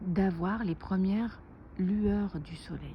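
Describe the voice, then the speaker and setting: A soft-spoken woman with a fairly low pitch. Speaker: naturopath and wellness vlogger. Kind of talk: casual vlog tutorial. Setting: outdoors.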